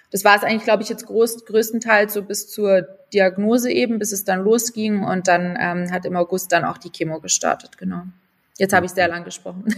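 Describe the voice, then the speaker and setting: With an unremarkable speaking voice, a woman talks at a fairly quick pace and medium pitch, her intonation fairly even but her loudness swinging widely. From Munich, Bavaria, Germany. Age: 20s. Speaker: content creator and cancer survivor. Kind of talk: casual interview, personal story.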